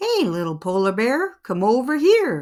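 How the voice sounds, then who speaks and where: A woman puts on a character voice with a fairly high pitch and very wide pitch swings. She talks at a moderate pace. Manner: friendly.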